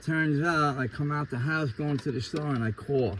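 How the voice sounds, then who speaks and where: Against noticeable background noise, a man with a New York accent speaks at a fairly slow pace with ordinary pitch variation. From New York City, Queens (Ridgewood). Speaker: interviewee giving life testimony. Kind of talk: testimony.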